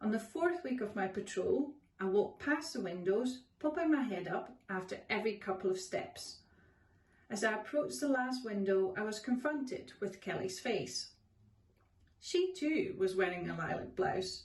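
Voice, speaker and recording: Somewhat breathy, a woman with a fairly high pitch speaks at a moderate pace using very wide pitch swings. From Netherlands. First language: Dutch. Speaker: author. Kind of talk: reading aloud.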